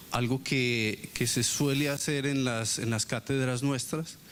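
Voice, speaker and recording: Fairly slow and fairly even in intonation, a man talks as noticeable noise carries in the background. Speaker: university professor. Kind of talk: lecture. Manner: monotone; hesitant, many fillers.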